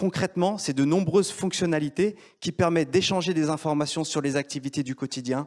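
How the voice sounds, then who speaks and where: On a very clean recording with a silent background, a man with a plain, everyday voice speaks at a fairly quick pace and with fairly even intonation. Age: 40s. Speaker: entrepreneur. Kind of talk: pitch presentation. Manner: formal.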